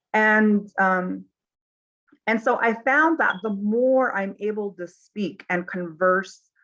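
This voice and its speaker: A woman with a Navajo Nation accent speaks at a very slow pace with ordinary pitch variation. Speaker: mental health consultant. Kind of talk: panel discussion. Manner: halting, many fillers.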